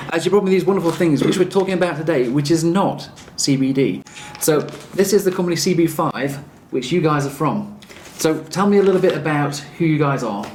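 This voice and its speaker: Fairly quick speech in an English accent, with noticeable background noise. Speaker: chiropractor and video host. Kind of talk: interview.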